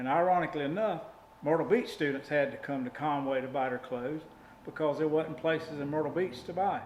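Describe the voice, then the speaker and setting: Audible room echo surrounds a man talking fairly quickly at a fairly high pitch with ordinary pitch variation. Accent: Southern US. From South Carolina. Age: 60s. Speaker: local resident. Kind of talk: interview reminiscence.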